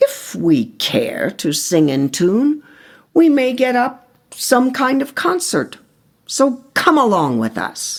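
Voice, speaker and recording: A put-on character voice at fairly high pitch. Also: female-sounding voice, fairly slow pace. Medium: read story.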